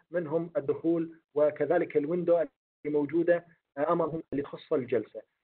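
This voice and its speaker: A monotone, flat delivery at a moderate pace with hardly any pauses. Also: man, high pitch for a man. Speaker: webinar instructor. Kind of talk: online lecture. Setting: video call.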